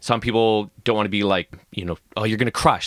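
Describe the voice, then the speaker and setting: Recorded very cleanly against a silent background, with a dry, close sound and no echo, a man with a Canadian accent and a fairly low pitch talks at a very fast pace. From Canada. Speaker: rock climber and coach. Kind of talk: casual interview chat.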